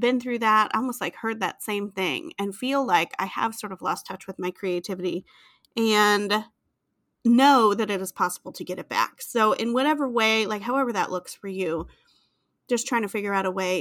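The recording is very clean, with a silent background. A woman talks at a moderate pace in a fairly high pitch with ordinary pitch variation. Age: 40s. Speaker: podcast host and art teacher. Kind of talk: casual interview chat. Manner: animated.

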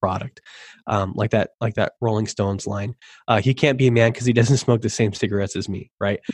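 A man speaking at a fairly quick pace, somewhat breathy and monotone, flat in intonation, against a quiet background. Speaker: copywriter and web designer. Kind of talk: casual interview.

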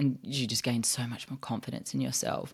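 The recording is very clean, with a silent background. The speaker has an Australian accent. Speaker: podcast co-host. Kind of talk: casual chat.

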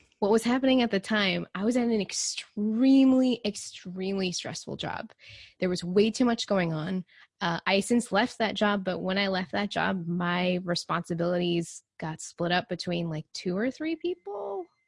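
Somewhat breathy, a woman with an American accent speaks at a moderate pace and medium pitch with ordinary variation, in a dry, close sound with no echo. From Texas. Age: 30s. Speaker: nutrition coach. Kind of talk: casual chat.

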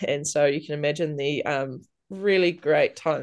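The background is quiet as a woman talks with a very deep, low pitch. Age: 30s. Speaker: podcast guest sharing personal story. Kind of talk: casual interview, personal testimony.

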